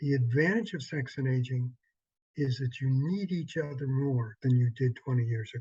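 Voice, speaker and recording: A man talks at a moderate pace. His voice is dark and mellow, and somewhat breathy. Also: medium pitch for a man, ordinary pitch variation. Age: 70s. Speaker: sex therapist. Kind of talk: workshop promo talk.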